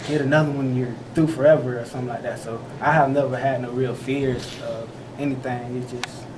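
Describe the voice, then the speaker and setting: Amid noticeable background noise and audible room echo, a soft-spoken man talks fairly quickly at a medium pitch, his intonation monotone and flat. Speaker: college football player. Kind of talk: press interview. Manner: halting.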